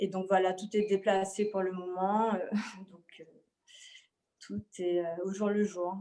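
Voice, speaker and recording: Very slowly and with long, frequent pauses, a woman speaks in a monotone, flat delivery at medium pitch, with a dark, mellow tone and big swings in loudness. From Martinique. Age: 30s. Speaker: painter. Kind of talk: interview. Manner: halting.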